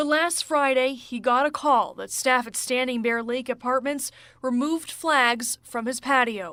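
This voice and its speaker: In a raised, projected voice, a woman speaks at a fairly slow pace with high pitch, fairly even intonation and a bright, sharp tone, on a very clean recording with a silent background. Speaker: TV news anchor and reporter. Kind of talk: recorded news package narration.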